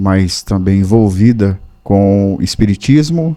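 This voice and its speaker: In a dry, close recording with no echo, a man talks very slowly at a fairly low pitch, his tone dark and mellow. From northern Brazil. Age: 40s. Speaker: pastor and para-athlete. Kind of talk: interview testimony. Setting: podcast studio.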